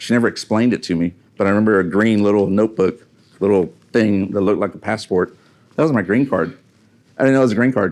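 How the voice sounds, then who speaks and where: A man with a fairly low voice talks at a very fast pace. His loudness stays very even, and his pitch varies in an ordinary way. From Mexico (Monterrey), raised in Houston, Texas. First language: Spanish. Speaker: motivational speaker, Marine veteran, business owner. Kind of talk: motivational talk. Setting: stage with live audience. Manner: conversational, hesitant with fillers.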